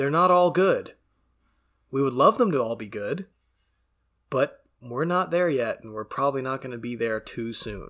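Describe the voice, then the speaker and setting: A man with a plain, everyday voice speaks at a moderate pace and medium pitch, his lively intonation paired with big swings in loudness, on a very clean recording with a silent background. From Canada. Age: 20s. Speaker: MMA podcast host. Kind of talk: casual solo commentary. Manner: casual, stumbling.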